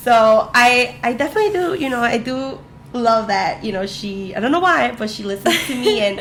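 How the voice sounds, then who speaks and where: A woman's animated, lively-intoned speech at a moderate pace, with audible room echo and noticeable background noise. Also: fairly high pitch for a woman. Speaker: podcast co-host. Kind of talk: casual chat.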